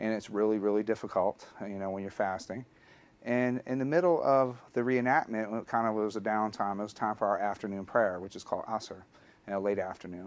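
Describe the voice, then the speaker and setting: A man with a Southern US accent, fairly low pitch and ordinary pitch variation, at a fairly quick pace over a quiet background. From US South, Alabama. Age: 40s. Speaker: history teacher. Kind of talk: personal testimony.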